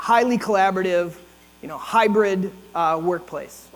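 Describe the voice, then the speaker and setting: The voice shows ordinary pitch variation at a moderate pace, with noticeable background noise throughout. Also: man. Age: 60s. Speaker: leadership consultant and event host. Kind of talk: opening remarks at a breakfast event. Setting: ballroom with audience. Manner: casual, conversational.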